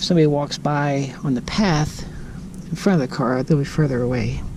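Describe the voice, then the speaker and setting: The voice is quiet, with noticeable background noise. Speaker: outdoor vlogger. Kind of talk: casual vlog narration. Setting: inside a parked car at night. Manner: quiet, keeping voice down.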